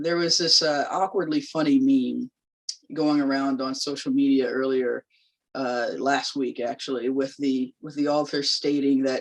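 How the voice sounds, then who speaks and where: Her pitch is very deep and low. The woman keeps a fairly even intonation. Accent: Southern US. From US South, North Carolina. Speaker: labor organizer. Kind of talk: public lecture. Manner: conversational, with fillers.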